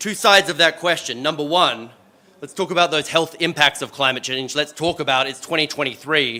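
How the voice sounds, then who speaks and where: With an Australian accent, a man speaks at a fairly quick pace and a fairly high pitch, using ordinary pitch variation. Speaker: panel moderator. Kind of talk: event moderation. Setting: stage with audience. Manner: animated.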